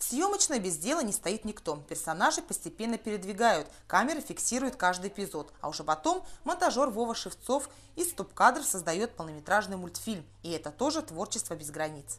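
A woman at a fairly quick pace, medium in pitch, with big pitch swings and a fairly bright tone

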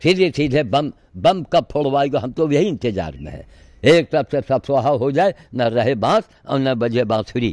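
Vocal fry runs through a man's fairly slow delivery, and his intonation is lively. The sound is dry with no echo over a quiet background. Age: 80s+. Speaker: sadhu activist. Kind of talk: monologue vlog. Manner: animated. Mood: frustrated, complaining. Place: garden. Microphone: phone near.

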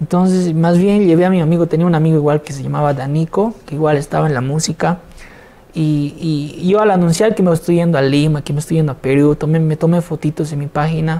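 This man talks at a very fast pace. His intonation stays fairly even. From Bolivia. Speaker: singer and songwriter; interview guest. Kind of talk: interview. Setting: studio. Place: studio. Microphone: lapel.

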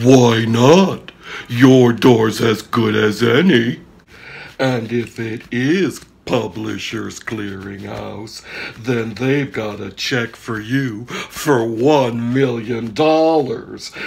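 A man speaks at a very slow pace. He uses a put-on character voice. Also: medium pitch for a man. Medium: comedy sketch. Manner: coaxing, upbeat.

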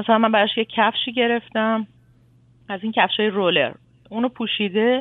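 This is a plain, everyday voice. The pace is fairly quick. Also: woman. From Iran. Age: 40s. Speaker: caller, mother. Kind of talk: advice call-in. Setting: phone call.

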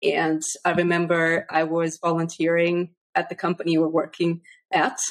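Over a quiet background, a woman with a fairly low pitch keeps her intonation fairly even. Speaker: podcast host. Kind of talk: interview. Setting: video call. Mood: warm, friendly. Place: home room. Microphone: studio mic.

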